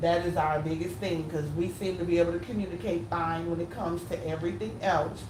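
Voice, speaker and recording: In a room with audible echo and noticeable background noise, a woman talks at a fairly quick pace with hardly any pauses, her pitch fairly low, her tone animated and her pitch variation ordinary. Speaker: YouTuber co-hosting with husband. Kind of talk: casual couple discussion. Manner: loud, animated.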